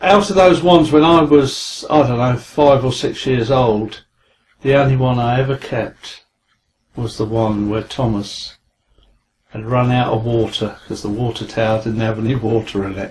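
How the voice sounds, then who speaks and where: In a southern English accent, a man speaks at a fairly slow pace with medium pitch, ordinary pitch variation and a somewhat breathy sound. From southern England, Guildford, Surrey. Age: 60s. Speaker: angling journalist and carp historian. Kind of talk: interview. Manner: hesitant with fillers.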